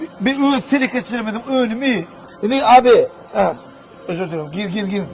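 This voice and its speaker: A high-pitched man speaks with lively intonation and long, frequent pauses. Noticeable background noise runs underneath. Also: moderate pace. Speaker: video blogger. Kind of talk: casual interview.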